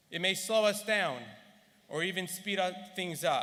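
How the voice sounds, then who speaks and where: A man speaks at a fairly slow pace in a raised, projected voice. His pitch is high, with ordinary variation. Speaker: gala honoree. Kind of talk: speech. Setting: stage with audience. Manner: formal.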